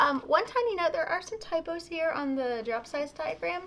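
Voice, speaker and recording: Her voice is raised and projected, with very wide pitch swings. The woman keeps a moderate pace. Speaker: pen shop video co-host. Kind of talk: casual product talk video.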